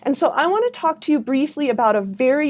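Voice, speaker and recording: This is a woman speaking. Her pitch moves in an ordinary way. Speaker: university lecturer. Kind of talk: educational talk. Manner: animated.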